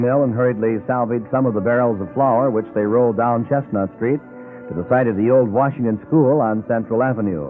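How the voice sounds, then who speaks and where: With music playing behind, the voice moves at a fairly quick pace and shows ordinary pitch variation. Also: man. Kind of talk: vintage radio history narration. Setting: old radio broadcast, restored from cassette.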